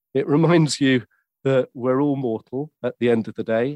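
In a southern English accent, the speaker goes at a fairly slow pace with ordinary pitch variation, the sound dry and close with no echo. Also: man. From southern England, West Sussex. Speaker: author and audiobook show host. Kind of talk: interview. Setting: remote from London.

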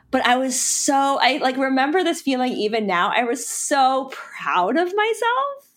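With an American accent, a woman speaks fairly slowly at a high pitch, her pitch swinging very widely while her loudness stays very even and she hardly pauses at all. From North Carolina, Charlotte. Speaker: ice cream company founder. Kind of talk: interview. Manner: hesitant, many fillers.

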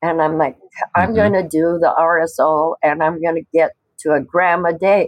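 A woman speaks in an ordinary speaking voice, pitched fairly low. Her intonation stays fairly even at a moderate pace. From US Northwest, Washington State. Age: 60s. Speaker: cannabis patient. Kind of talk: interview testimony.

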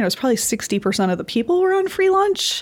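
Speaking with an Upper Midwest accent, a woman uses lively intonation in a very clean recording with a silent background. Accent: Upper Midwest American. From northern Michigan. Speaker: lawyer. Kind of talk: interview.

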